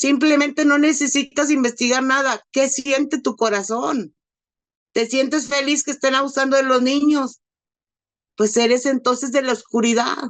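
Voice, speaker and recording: Using a high pitch, a woman talks at a moderate pace with fairly even intonation and very even loudness. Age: 50s. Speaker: abuse survivor. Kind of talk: testimony. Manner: emotional; halting.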